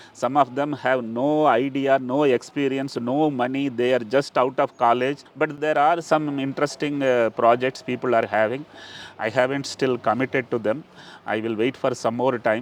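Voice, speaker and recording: Here, a man has an unremarkable speaking voice at a medium pitch. He keeps a moderate pace and fairly even intonation. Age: 60s. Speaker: entrepreneur. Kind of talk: interview.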